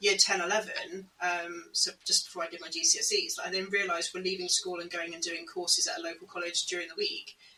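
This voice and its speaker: A woman with a British accent races along at a very fast pace with hardly any pauses and big swings in loudness, against noticeable background noise. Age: 30s. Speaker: podcast co-host on home education. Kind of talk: casual conversation.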